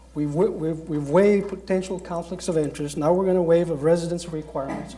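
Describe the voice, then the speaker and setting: A man with a high voice speaks at a fairly quick pace, his pitch varying in an ordinary way. Audible room echo and noticeable background noise surround him. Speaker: city council member. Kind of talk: council meeting debate.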